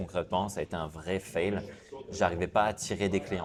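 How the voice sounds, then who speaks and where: The voice is a man's, very deep and low. He speaks in a flat monotone. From southern France, Cannes. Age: 30s. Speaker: sales coach and entrepreneur. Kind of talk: interview. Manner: hesitant fillers.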